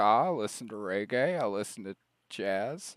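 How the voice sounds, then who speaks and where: A man speaks fairly slowly in a relaxed tone with a Southern US accent. The recording is very clean, with a silent background. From US South, Alabama. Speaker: streamer. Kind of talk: casual chat. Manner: relaxed, rambling with fillers.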